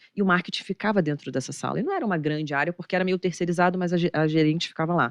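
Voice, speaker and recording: Very fast speech comes from a woman with a fairly low voice and ordinary pitch variation. The sound is dry and close, with no echo. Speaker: investment manager. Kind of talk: podcast interview. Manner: animated.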